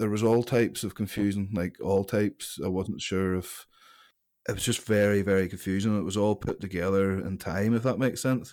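A man with a Northern Irish accent talks at a fairly quick pace in a fairly low voice, keeping his intonation fairly even. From Northern Ireland, County Antrim (Larne). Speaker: strongman athlete and gym owner. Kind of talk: interview. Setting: remote call.

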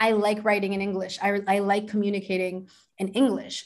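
A woman at medium pitch with an American accent. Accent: American-sounding English with slight Chilean. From Santiago, Chile. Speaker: self love coach and astrologer. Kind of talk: casual interview chat. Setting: video call.

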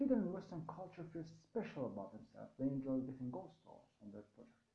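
Audible room echo surrounds a man speaking very fast in a high pitch with a dark, mellow tone. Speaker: university lecturer. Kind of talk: lecture.

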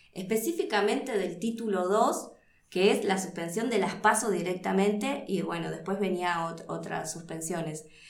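The voice carries ordinary pitch variation, with audible room echo. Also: woman. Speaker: political scientist. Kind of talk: interview.

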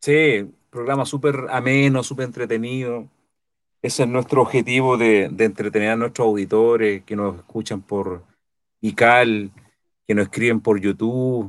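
On a very clean recording with a silent background, a man with a plain, everyday voice at medium pitch speaks at a fairly slow pace with fairly even intonation. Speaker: co-host. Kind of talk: casual chat.

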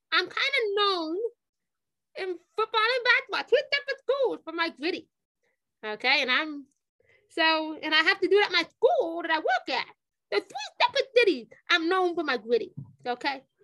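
Raised and projected, a woman's bright, sharp voice reaches an extremely high pitch with very wide swings, moving at a moderate pace broken by long, frequent pauses. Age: 30s. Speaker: high school football and track coach. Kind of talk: podcast interview. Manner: halting, many fillers and repetitions.

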